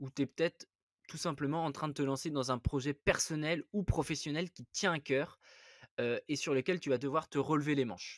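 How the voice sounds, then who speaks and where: A man's voice sits fairly high in pitch. He talks at a moderate pace. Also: dry, close sound with no echo. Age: 30s. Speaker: investing podcast host. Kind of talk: solo podcast monologue. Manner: hesitant, many fillers; animated.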